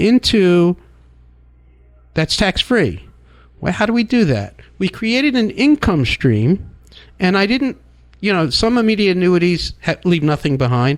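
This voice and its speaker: A man's high-pitched voice with very wide pitch swings and long, frequent pauses, on a very clean recording with a silent background. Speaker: financial advisor. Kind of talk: radio talk show discussion. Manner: fast.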